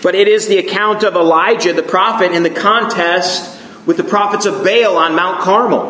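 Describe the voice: Ordinary pitch variation in a plain read-aloud passage.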